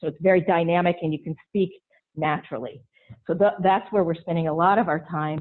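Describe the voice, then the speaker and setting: A woman is speaking in a fairly low pitch. Her pace is fairly quick. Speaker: automation expert speaker. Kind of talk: webinar presentation. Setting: webinar. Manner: fast.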